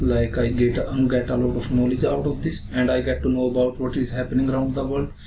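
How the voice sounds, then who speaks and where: Noticeable background noise runs beneath a man talking at a fairly quick pace. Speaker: student test candidate. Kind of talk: mock speaking exam answers. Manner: fast, little intonation.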